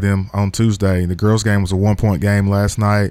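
Using a normal speaking voice, a man with an American accent speaks fairly quickly at a fairly low pitch. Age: 40s. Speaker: high school basketball coach. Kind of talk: radio interview.

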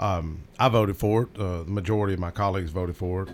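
Talking at a very fast pace, a man with a Southern US accent has a fairly low pitch. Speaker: state legislator. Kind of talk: casual radio talk. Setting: radio studio.

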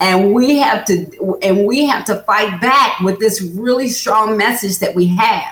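A woman's fairly high, fairly slow speech with ordinary pitch variation, very even loudness, and hardly any pauses over noticeable background noise. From Kentucky, Lexington. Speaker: political candidate. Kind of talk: interview. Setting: studio.

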